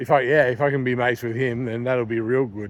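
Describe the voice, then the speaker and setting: A man with an Australian accent. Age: 30s. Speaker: vlogger. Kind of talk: casual vlog chat. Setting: outdoors walking at night. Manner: rambling casual, many fillers.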